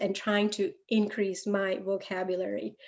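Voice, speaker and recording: The speaker goes at a very slow pace in a Gujarati accent. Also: woman. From India, Gujarat (Ahmedabad). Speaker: guest speaker, computer science professional. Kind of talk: talk to an audience. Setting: interactive session with audience.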